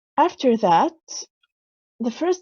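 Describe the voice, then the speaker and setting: A woman with a dark, mellow tone speaks at a fairly slow pace in a dry, close recording with no echo. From Lebanon. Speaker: symposium speaker. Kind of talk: presentation talk. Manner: halting, with self-corrections.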